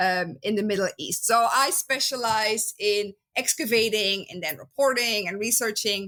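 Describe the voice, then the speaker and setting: A woman with a Flemish accent speaks at a fairly slow pace and a fairly high pitch. Her tone is bright and sharp, with ordinary pitch variation. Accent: Dutch (Flemish). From Belgium. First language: Dutch. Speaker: biblical archaeologist. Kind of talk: podcast interview. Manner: many filler words (um, uh).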